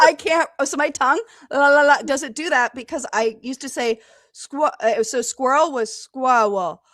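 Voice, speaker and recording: In a very clean recording with a silent background and a dry, close sound with no echo, a woman speaks at a moderate pace in a high pitch, her tone animated and her pitch variation ordinary. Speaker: podcast guest. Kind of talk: casual interview. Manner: halting, repeats words.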